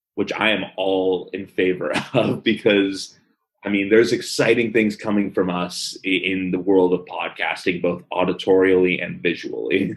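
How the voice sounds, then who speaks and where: A man speaks with a slight Philadelphia accent at a moderate pace. His very deep, low voice stays monotone and flat. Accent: slight Philadelphia-area. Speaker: podcast co-host. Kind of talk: casual chat.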